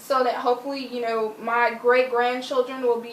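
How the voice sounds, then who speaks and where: A high-pitched woman's voice at a moderate pace, in a monotone with flat intonation. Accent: American. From United States. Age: 20s. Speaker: interviewee. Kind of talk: interview.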